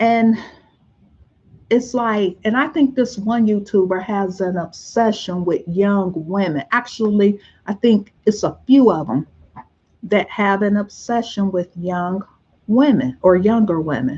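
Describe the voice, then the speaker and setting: A woman speaks at a fairly slow pace, somewhat breathy, with lively intonation. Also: medium pitch for a woman. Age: 50s. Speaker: vlogger. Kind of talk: casual chat. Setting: livestream. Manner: soft-spoken.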